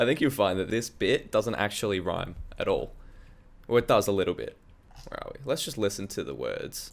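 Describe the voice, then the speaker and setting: Animated male voice with an Australian accent, fairly quick, with big swings in loudness. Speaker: musician and music producer. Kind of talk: casual tutorial walkthrough. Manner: casual, animated.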